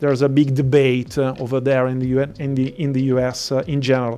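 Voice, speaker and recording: Music plays in the background. The speaker talks in an Italian accent at a fairly quick pace. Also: man. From Italy. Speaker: event host. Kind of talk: event moderation.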